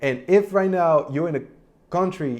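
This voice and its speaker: With a non-native accent and lively intonation, a man speaks against a quiet background. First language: not English. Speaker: online business youtuber. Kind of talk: Q&A explainer video. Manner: casual, conversational.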